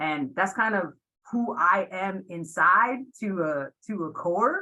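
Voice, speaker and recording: A woman speaks loudly at a medium pitch in a bright, sharp tone. Her intonation is lively, and her pace is very slow. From Puerto Rico. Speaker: athletic director. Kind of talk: webinar panel discussion.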